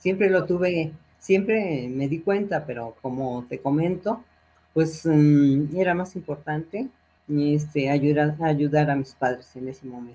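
This woman's voice is very deep and low, with a dark, mellow tone, ordinary pitch variation and a fairly slow pace. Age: 70s. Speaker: retired accountant and alumna. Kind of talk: interview. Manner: halting.

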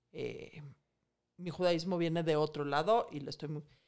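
A woman's plain, everyday voice at a fairly low pitch and a moderate pace. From Mexico. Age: 40s. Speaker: financial expert and author. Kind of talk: casual interview.

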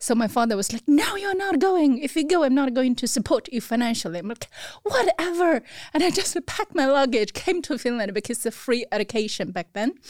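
In a Chinese accent, a woman talks at a fairly quick pace with a high pitch and very wide pitch swings, in a dry, close sound with no echo. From China (Beijing). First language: Mandarin Chinese. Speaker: restaurant owner. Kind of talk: interview.

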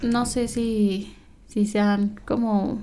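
A woman with a dark, mellow tone and fairly high pitch speaks in a monotone, flat intonation. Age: 20s. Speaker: lawyer. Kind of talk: casual interview.

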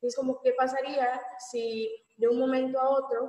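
A woman with a high pitch. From Mexico, Mérida (Yucatán). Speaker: book discussion panelist. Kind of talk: casual book discussion.

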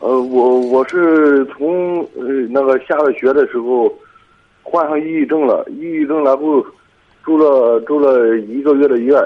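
A man speaks at a fairly high pitch. His intonation stays fairly even. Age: 20s. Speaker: caller with depression. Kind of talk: call-in advice conversation. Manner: halting, repeats words.

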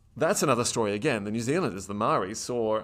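On a very clean recording with a silent background, a man with an Australian accent speaks at medium pitch with ordinary pitch variation. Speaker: historian. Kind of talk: interview conversation.

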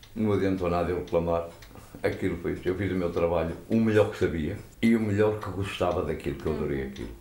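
A man with a very deep, low pitch and a dark, mellow tone speaks at a very fast pace with vocal fry. His pitch varies in an ordinary way, and the room echo is audible. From Portugal, Matosinhos (Leixões). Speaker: former pool caretaker. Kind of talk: interview storytelling.

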